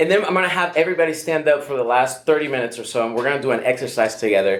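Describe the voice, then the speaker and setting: A man's fairly high voice in a Venezuelan accent, very fast, over noticeable background noise. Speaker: pastor. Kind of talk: workshop talk. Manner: hesitant, many fillers.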